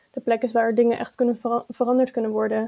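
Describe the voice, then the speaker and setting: Her tone is dark and mellow, with a fairly high pitch for a woman. The intonation stays monotone and flat. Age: 20s. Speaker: youth party chair. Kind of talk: interview.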